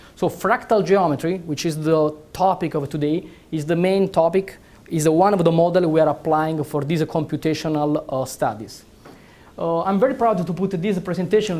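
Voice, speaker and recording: The speaker talks at a moderate pace with an Italian accent. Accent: Italian accent, noticeable. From Italy. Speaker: neurosurgeon and researcher. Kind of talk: lecture. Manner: hesitant, many fillers.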